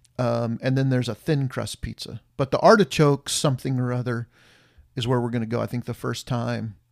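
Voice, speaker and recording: Using an ordinary speaking voice, a man talks fairly quickly at medium pitch with fairly even intonation, the sound dry and close with no echo. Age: 50s. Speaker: podcast co-host, father of the subject. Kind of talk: casual chat.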